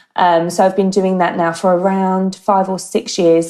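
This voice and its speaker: A woman with a slight Australian accent speaks in a dark, mellow tone, her fairly low pitch held in a monotone, flat intonation. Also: very clean recording, silent background. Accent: English with slight Australian twang. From UK. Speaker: marketing director. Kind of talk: interview.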